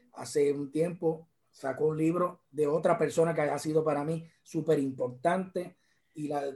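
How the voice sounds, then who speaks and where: With a fairly high pitch, the man's voice carries a dark, mellow tone. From Puerto Rico, Arecibo. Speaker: judge and guitarist. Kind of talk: interview.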